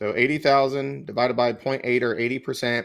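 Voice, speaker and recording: A man with an American accent talks fairly quickly in a monotone, flat intonation with vocal fry. The recording is very clean, the background silent. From US South. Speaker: real estate exam tutor. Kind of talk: live-stream Q&A tutorial. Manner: fast.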